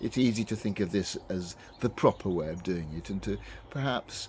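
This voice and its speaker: A man with a British accent, a very deep, low pitch and a moderate pace. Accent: BBC English (Received Pronunciation). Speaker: reflective video host. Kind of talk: personal reflection. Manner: halting, many fillers and repetitions.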